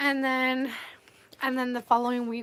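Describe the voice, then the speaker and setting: A woman's fairly high-pitched voice. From Colombia and Canada. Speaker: art teacher and livestreamer. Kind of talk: livestream chat. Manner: mumbling at times.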